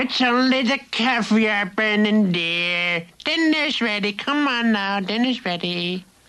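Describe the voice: A woman does a cartoonish character voice, pitched fairly high and delivered at a fairly slow pace with hardly any pauses.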